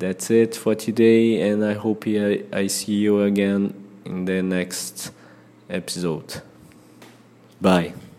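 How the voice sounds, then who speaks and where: A man in a Brazilian accent, fairly low-pitched and dark, mellow in tone, at a very slow pace with long, frequent pauses and fairly even intonation. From Brazil, Ceará (northeast). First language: Portuguese. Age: 30s. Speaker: English learner podcaster. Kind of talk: casual solo monologue. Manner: halting, frequent fillers.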